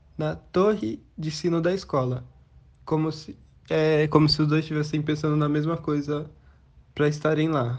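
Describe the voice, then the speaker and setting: This man speaks in a flat monotone at a fairly high pitch. His pace is moderate. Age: young. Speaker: library reader. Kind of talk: book recommendation. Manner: halting.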